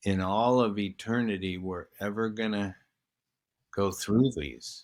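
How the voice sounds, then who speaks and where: Over a very clean recording with a silent background, a man talks at a very slow pace with ordinary pitch variation. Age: 60s. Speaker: retired professional athlete, podcast guest. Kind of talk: casual chat.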